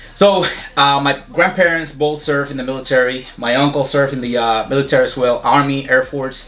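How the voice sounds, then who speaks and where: Against noticeable background noise, a man with a strong Puerto Rican accent talks fairly quickly at a fairly high pitch, keeping his intonation fairly even. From Puerto Rico. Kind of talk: interview.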